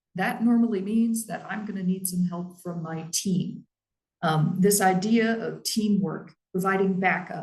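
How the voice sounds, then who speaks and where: A woman's somewhat breathy voice at medium pitch, fairly slow and with fairly even intonation. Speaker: library staff trainer. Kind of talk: professional training talk.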